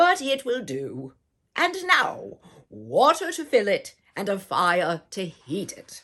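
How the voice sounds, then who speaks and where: Using a put-on character voice, a woman of medium pitch talks at a fairly slow pace with big swings in loudness. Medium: read story. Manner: confident, persuasive.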